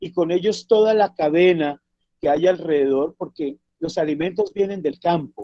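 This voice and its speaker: At a fairly slow pace, a man with an unremarkable speaking voice talks at a fairly high pitch with ordinary pitch variation. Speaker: traditional cook and cultural activist. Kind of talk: talk in online discussion. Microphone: bad connection.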